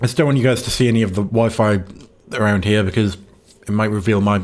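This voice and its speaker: This is a man's voice. His pitch is fairly low. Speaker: gaming streamer. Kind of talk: casual livestream chat. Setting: home livestream. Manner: quiet; hesitant, many fillers.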